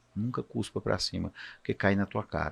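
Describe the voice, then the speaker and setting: Here a man speaks at a moderate pace. Nothing disturbs the quiet background. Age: 60s. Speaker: physician. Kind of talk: casual chat.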